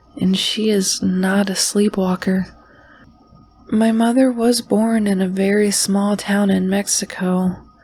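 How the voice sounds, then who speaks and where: A fairly slow delivery with background noise clearly present. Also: woman. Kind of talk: horror podcast narration reading listener stories. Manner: soft-spoken.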